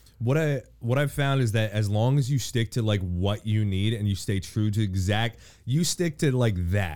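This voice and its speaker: A man talks in an unremarkable speaking voice, fairly low in pitch, at a moderate pace with ordinary pitch variation. His loudness stays very even on a very clean recording with a silent background. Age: 30s. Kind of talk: casual chat.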